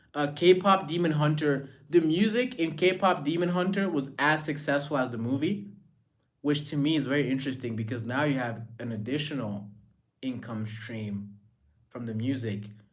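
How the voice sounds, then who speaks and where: A man's animated, fairly high voice with an American accent and lively intonation at a moderate pace, in a room with audible echo. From Rwanda. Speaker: live streamer. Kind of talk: casual chat.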